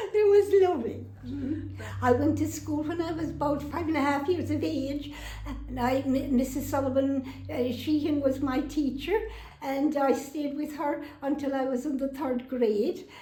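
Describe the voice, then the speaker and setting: A woman speaks at a moderate pace with a high pitch and ordinary pitch variation, in a Kerry accent. Audible room echo surrounds her voice. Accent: Kerry Irish. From Ireland, County Kerry (Sneem). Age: 80s+. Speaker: housing resident telling her life story. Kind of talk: personal testimony interview. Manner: halting, with fillers.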